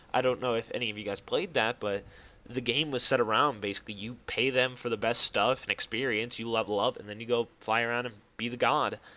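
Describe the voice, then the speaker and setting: Very fast and fairly even in intonation, a man speaks at a medium pitch with a bright, sharp tone. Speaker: gaming youtuber. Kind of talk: gameplay commentary. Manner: halting, self-described stuttering.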